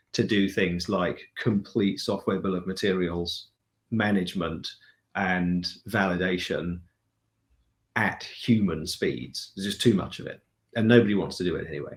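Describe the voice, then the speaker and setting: In a British accent, a man speaks at a moderate pace with a very deep, low pitch and long, frequent pauses. The recording is very clean, with a silent background. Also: fairly even intonation. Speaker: chief technology and product officer. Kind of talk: interview answer.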